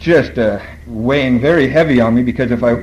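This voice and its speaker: Over noticeable background noise, a man of medium pitch talks at a fairly quick pace. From Borneo. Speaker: AA speaker. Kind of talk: recovery talk. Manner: fast.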